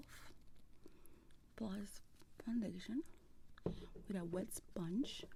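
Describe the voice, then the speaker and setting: Soft-spoken and somewhat breathy, a woman talks at a very slow pace with a dark, mellow tone. She uses ordinary pitch variation and leaves long, frequent pauses. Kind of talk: ASMR makeup tutorial, casual talk to camera. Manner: soft-spoken, relaxing.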